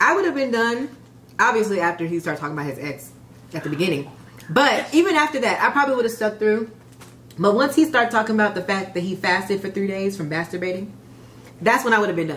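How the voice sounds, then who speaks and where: Very fast and with very wide pitch swings, a speaker with an American accent talks over light background noise. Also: woman. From US Midwest, Chicago area. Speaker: YouTuber. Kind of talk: casual chat. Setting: at home. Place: home room.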